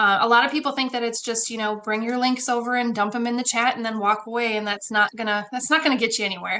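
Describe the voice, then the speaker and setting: A woman talks at a very fast pace with a fairly high pitch and fairly even intonation. Noticeable background noise is present. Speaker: online community builder. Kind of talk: guest presentation in a live mastermind call. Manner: casual, with fillers.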